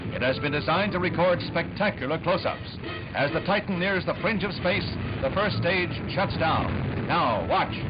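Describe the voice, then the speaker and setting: At a moderate pace, a man talks while loud background noise fills the clip. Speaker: newsreel narrator. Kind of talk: newsreel narration. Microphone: old recording.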